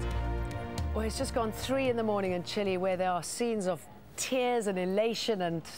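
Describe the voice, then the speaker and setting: A woman talks at a moderate pace, her pitch medium. She has a plain, everyday voice. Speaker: news presenter. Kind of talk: TV news anchor read.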